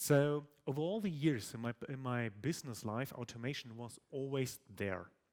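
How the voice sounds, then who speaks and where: A man with a plain, everyday voice uses lively intonation at a moderate pace and a medium pitch. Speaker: tech conference speaker. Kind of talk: conference talk. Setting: stage with audience.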